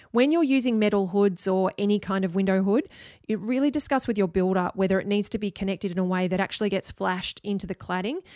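A woman with an Australian accent speaks very fast at a medium pitch, in a dark, mellow tone. The recording is very clean and the background silent. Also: ordinary pitch variation. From Australia, Sydney. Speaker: architect, podcast host. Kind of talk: solo podcast monologue.

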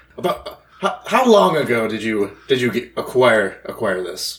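A man puts on a character voice at a medium pitch. He speaks fairly slowly. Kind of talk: mock-aristocratic cat voice. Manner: haughty, condescending, wheedling.

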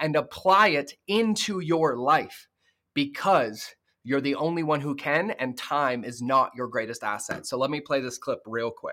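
At a fairly slow pace, a man speaks at a medium pitch with ordinary pitch variation and a bright, sharp tone.

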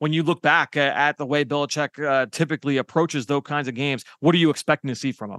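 At a very fast pace with hardly any pauses, a man speaks in a fairly high voice with fairly even intonation. The sound is dry and close with no echo, over a quiet background. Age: 30s. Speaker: team podcast host and film analyst. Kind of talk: casual football analysis chat.

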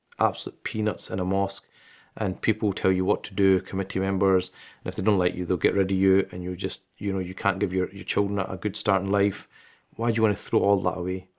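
A man's fairly low, flat, monotone voice in a Glaswegian accent, at a very fast pace over a quiet background. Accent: Glaswegian Scottish. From Scotland, Glasgow. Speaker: Islamic scholar. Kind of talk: interview.

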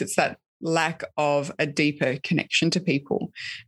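Over a quiet background, a woman speaks at a moderate pace with an Australian accent. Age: 30s. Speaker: author and podcast host. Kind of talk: interview conversation.

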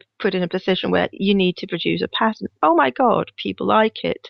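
Someone with a Danish accent speaks at a fairly quick pace. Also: woman. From Denmark. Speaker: knitwear designer. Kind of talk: interview.

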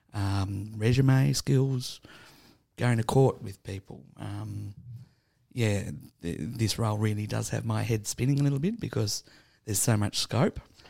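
A man with an Australian accent, fairly low pitch, ordinary pitch variation, a somewhat breathy quality and long, frequent pauses. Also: fairly slow pace. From Tasmania, Burnie. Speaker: homeless support worker. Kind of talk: casual interview. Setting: studio.

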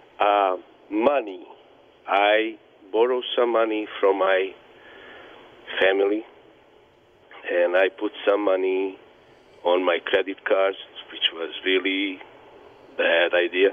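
A man's fairly low voice in a Bosnian accent, with fairly even intonation, a very slow pace and long, frequent pauses. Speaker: business owner, bar owner and refugee. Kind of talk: interview answers, personal story. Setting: phone call.

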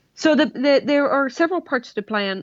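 At a moderate pace and with lively intonation, a speaker with a Swedish accent sounds dry and close with no echo against a quiet background. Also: woman. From Sweden. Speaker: engineer and motorcycle land speed racer. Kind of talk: interview.

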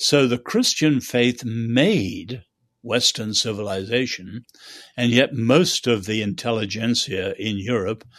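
In a quiet background, a man speaks at a fairly slow pace, with medium pitch and ordinary pitch variation. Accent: British. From China, schooled in England. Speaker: author and social critic. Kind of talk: interview.

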